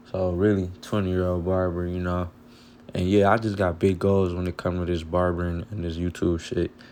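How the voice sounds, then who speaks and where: Relaxed in tone, a man with an American accent talks at a fairly quick pace in a very deep, low pitch with monotone, flat intonation. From Michigan, Pontiac near Detroit. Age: 20s. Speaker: barber. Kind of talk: tutorial. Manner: casual, relaxed.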